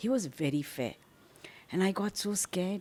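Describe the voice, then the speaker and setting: A woman's medium-pitched voice in a South Indian accent. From South India, Bangalore. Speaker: social activist. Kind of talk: interview storytelling.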